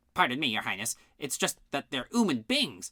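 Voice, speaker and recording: A man in a put-on character voice, fairly high in pitch, with very wide pitch swings at a moderate pace. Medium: read story. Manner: nervous, deferential.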